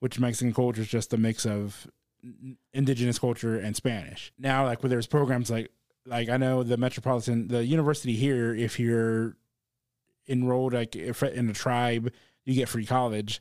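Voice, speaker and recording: A man with an American accent speaks at a medium pitch with monotone, flat intonation. His loudness stays very even. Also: moderate pace, very clean recording, silent background. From South Texas, Corpus Christi. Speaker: comedian. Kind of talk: casual chat.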